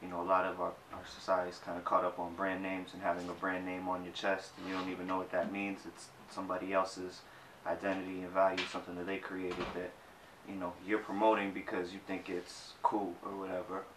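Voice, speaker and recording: Amid noticeable background noise and audible room echo, a man with a very deep, low pitch talks at a very fast pace with monotone, flat intonation. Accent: American. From Boston, Jamaica Plain. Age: 20s. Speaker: graphic designer. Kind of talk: interview.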